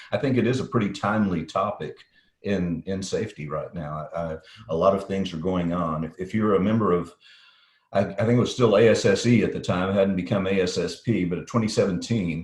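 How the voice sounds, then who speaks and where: At a fairly quick pace, a man with a slight Texas accent talks in a fairly low, somewhat breathy voice with ordinary pitch variation. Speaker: safety consultant, company CEO. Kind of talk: interview. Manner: practiced, professional broadcast delivery; hesitant, repeats words.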